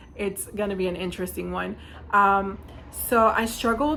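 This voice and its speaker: A woman's bright, sharp tone at medium pitch, with vocal fry. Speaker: nail art YouTuber. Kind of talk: casual vlog talk. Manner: fast; chatty.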